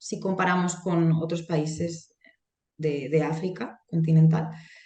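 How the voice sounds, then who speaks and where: A woman speaks at a fairly slow pace, and audible room echo is present. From Spain, Alcoy (Alicante), Valencian-speaking area. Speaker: Spanish language lecturer. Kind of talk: interview.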